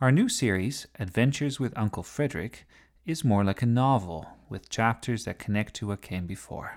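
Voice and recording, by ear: Natural-voiced reading aloud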